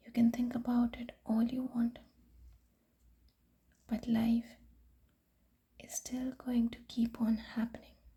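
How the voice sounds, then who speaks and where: The speaker is soft-spoken. The pace is very slow. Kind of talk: sleep story reading.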